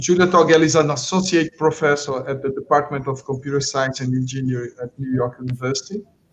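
A man with a Portuguese accent talks at a fairly quick pace in a fairly high pitch, with light background noise. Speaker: conference moderator. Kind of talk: formal introduction. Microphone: video call.

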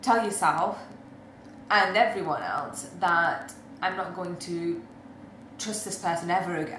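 A woman speaks with big swings in loudness and long, frequent pauses. There is audible room echo and light background noise. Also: ordinary pitch variation, fairly slow pace. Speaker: spoken word poet. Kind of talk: casual talk to camera. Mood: calm, reflective. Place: home room. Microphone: webcam.

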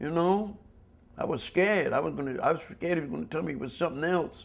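A man talks at a fairly quick pace with vocal fry. His intonation is lively. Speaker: interviewee. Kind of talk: interview answer. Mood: candid, sometimes worried. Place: studio.

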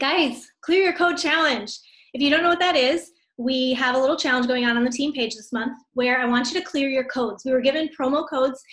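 High-pitched woman at a fairly quick pace against a quiet background. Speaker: team leader hosting training. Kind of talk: casual team training talk. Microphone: video call.

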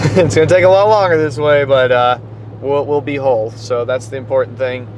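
At a moderate pace, a man speaks in a dry sound with no echo, with noticeable background noise behind him. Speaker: vlogger driving. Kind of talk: casual vlog chat. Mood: reflective, slightly resigned. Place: car. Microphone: phone near.

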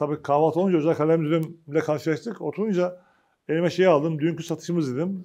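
This man has a dark, mellow tone and talks at a fairly quick pace. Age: 50s. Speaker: agricultural cooperative union chairman. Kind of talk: press conference speech. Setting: meeting with press at company facilities. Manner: informal, conversational. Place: meeting room. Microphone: lapel.

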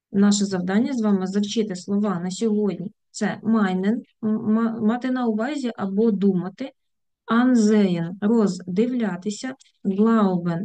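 Pitched fairly high, the woman's voice has a dark, mellow tone. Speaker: German language teacher. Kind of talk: tutorial. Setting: video lesson with screen sharing.

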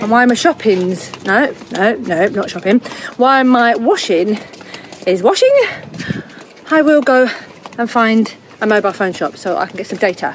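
A woman talks at a moderate pace with long, frequent pauses, the sound dry with no echo and light background noise behind her. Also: lively intonation. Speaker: sailing family vlogger. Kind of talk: casual vlog chat. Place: street. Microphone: phone near.

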